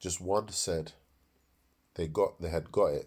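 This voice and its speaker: The voice is somewhat breathy and moves at a fairly slow pace. The recording is very clean, with a silent background. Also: man. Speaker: preacher. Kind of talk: sermon. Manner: halting.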